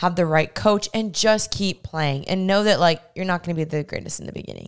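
Over a quiet background, a woman speaks at a fairly quick pace with ordinary pitch variation. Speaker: podcast host. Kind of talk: casual, conversational. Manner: chatty, upbeat. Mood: warm, upbeat. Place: home room. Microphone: handheld.

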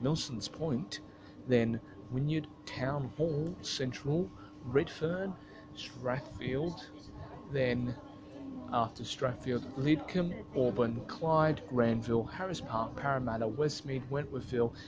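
A man talks at a very slow pace with ordinary pitch variation, noticeable background noise behind him. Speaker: transport vlogger. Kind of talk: commentary. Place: station. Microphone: phone near.

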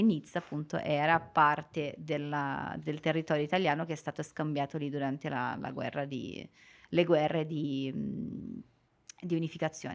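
A woman's very deep, low voice at a fairly slow pace over a quiet background. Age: 20s. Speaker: Italian teacher for foreigners. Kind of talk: casual chat. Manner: halting. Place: studio. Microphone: studio mic.

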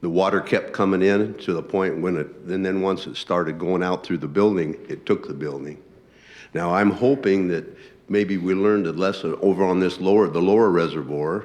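With an American accent, a man talks at a moderate pace in a very deep, low voice. His pitch varies in an ordinary way, and the room echo is audible. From Lewiston, Idaho, US. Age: 70s. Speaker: public commenter at council meeting. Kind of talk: public comment at city council meeting.

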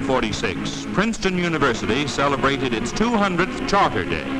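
Someone talks at a fairly quick pace against loud background noise. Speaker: newsreel narrator. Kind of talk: newsreel narration. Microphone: old recording.

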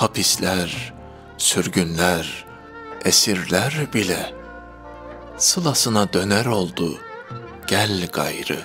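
With music in the background, a man speaks at a very slow pace using lively intonation. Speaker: poetry reader. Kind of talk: poetry reading.

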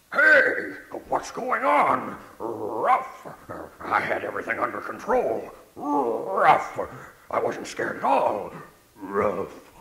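Speaking very slowly in a put-on character voice, a man's words carry an audible echo. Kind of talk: children's story reading with character voices. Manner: faking bravado, embarrassed.

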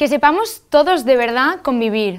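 A woman's high-pitched voice, very slow, with very wide pitch swings, over a quiet background. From Spain. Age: 20s. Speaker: festival queen; interview guest. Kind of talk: TV interview. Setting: TV studio. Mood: warm, smiling. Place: studio. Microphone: lapel.

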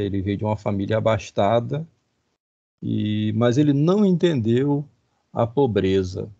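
A man's dark, mellow tone at a very slow pace against a quiet background. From Rio de Janeiro, Brazil. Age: 50s. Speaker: professor. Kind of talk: lecture. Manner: halting.

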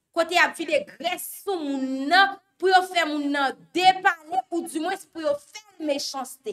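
Extremely high-pitched woman speaking at a very slow pace, with ordinary pitch variation, big swings in loudness and noticeable background noise. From Haiti. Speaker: news show host. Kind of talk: news commentary. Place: studio.

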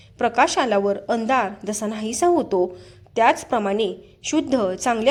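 The voice is natural. It reads a passage aloud.

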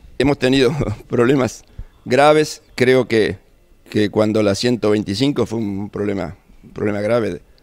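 With long, frequent pauses, a man speaks at a very slow pace in a fairly low voice with ordinary pitch variation. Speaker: president of a rural producers' association. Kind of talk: interview. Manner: halting, with many fillers.

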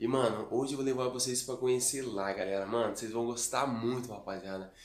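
Audible room echo surrounds speech delivered at a fairly quick pace. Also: man. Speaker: vlogger. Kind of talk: casual vlog chat. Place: home room. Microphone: phone near.

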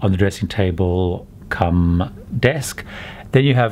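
A man has an unremarkable speaking voice, fairly low in pitch with ordinary pitch variation. Light background noise can be heard. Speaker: travel vlogger. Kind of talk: casual tour commentary. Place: home room. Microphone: phone near.

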